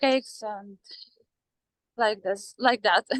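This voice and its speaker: Her fairly high voice carries a Ukrainian accent and fairly even intonation, as a woman is recorded with a dry, close sound with no echo. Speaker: former baker, mother. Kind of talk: interview. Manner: halting, many fillers.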